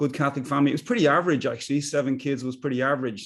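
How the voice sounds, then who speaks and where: Talking very fast in a Dublin accent, a man keeps a monotone, flat intonation. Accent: Dublin Irish. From Ireland, Dublin. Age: 60s. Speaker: business coach. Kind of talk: casual chat. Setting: video call.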